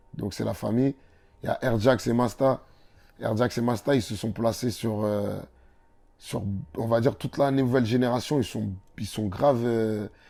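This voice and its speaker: Recorded very cleanly against a silent background, a man with a dark, mellow tone and medium pitch speaks at a moderate pace with fairly even intonation and long, frequent pauses. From Comorian heritage, France. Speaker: rapper. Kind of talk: interview.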